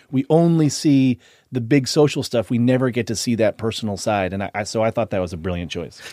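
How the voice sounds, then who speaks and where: In a very clean recording with a silent background, a man speaks at a fairly quick pace with lively intonation. His medium-pitched voice has a dark, mellow tone, and the sound is dry and close with no echo. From Boston. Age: 30s. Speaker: author. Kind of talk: casual chat.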